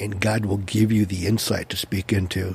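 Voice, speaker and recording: With an American accent, a man speaks in a somewhat breathy, fairly low voice with monotone, flat intonation. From Orange County, California. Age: 60s. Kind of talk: casual interview chat.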